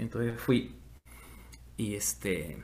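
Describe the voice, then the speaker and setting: A man talks with vocal fry. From Peru. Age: 50s. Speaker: musician. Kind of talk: interview.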